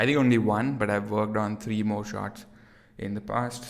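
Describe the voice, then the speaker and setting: A man speaks in an American accent. His pitch is fairly low and his pace moderate. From India. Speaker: 3D artist streamer. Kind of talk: live stream tutorial chat. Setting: near-empty room at home, live stream. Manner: casual, filler-heavy.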